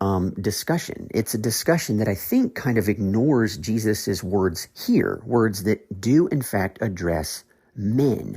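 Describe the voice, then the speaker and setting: On a very clean recording with a silent background, a man with an American accent speaks at a fairly slow pace with lively intonation and a dark, mellow, somewhat breathy tone. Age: 40s. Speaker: podcast host, Bible teacher. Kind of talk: podcast teaching monologue. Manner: hesitant, with fillers and repeated words.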